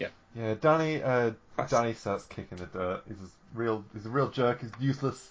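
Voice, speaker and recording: A somewhat breathy voice at a fairly quick pace, with ordinary pitch variation and big swings in loudness. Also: man, medium pitch for a man. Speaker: podcast co-host. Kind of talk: casual chat.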